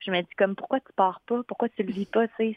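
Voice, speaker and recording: A woman's voice in monotone, flat intonation. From Quebec, West Island of Montreal. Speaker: singer-songwriter. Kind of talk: radio interview.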